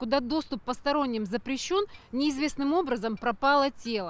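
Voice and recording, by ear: A woman talks at a high pitch with ordinary pitch variation. Her pace is moderate.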